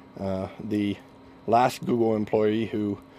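In a dark, mellow tone, a man speaks with a fairly low pitch and monotone, flat intonation. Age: 40s. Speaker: software engineer. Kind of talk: interview.

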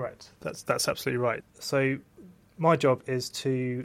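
A man talks at a moderate pace and medium pitch. His intonation stays monotone and flat. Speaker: histopathologist. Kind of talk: interview explaining medical work.

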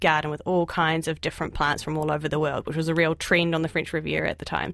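A woman with a New Zealand accent and a very deep, low pitch, on a very clean recording with a silent background. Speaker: journalist and author. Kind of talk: radio interview. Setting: studio.

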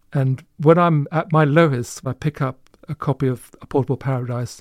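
With a Bedfordshire accent, a man speaks at medium pitch and a moderate pace. His pitch variation is ordinary, and the sound is dry and close with no echo. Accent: English, Luton. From Luton, England. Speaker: author. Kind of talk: panel interview.

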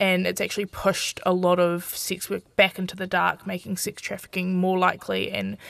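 In a New Zealand accent, the speaker talks at a fairly quick pace with monotone, flat intonation on a very clean recording with a silent background. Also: woman. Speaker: aspiring sex educator. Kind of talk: live radio advice show. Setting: studio.

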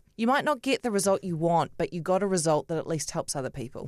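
A woman speaks in a New Zealand accent with lively intonation. The sound is dry and close with no echo, on a very clean recording with a silent background. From New Zealand, Auckland (Otahuhu). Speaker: television journalist and breakfast show host. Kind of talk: casual interview chat. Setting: studio.

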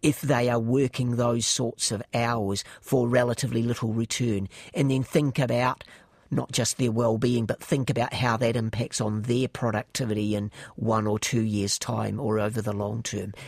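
With a New Zealand accent, a man speaks at a medium pitch and fairly even intonation, in a dry, close sound with no echo. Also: moderate pace. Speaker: economist, chair of a government commission. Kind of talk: interview. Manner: hesitant with fillers and repeats.

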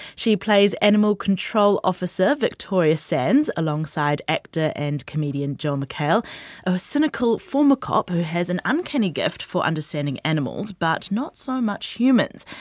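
Speaking with a New Zealand accent at a moderate pace and medium pitch, a woman uses very wide pitch swings and hardly any pauses, in a very clean recording with a silent background and a dry, close sound with no echo. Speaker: radio host. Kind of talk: radio interview. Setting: studio.

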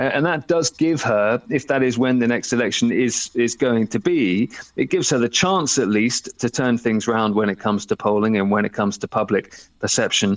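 In an ordinary speaking voice, a man of medium pitch talks at a moderate pace with ordinary pitch variation, the sound dry and close with no echo. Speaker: UK correspondent.

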